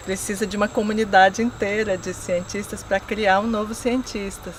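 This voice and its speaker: Over noticeable background noise, a woman speaks at a moderate pace. Her intonation is monotone and flat. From rural Brazil. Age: 40s. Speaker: agricultural researcher. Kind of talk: documentary interview.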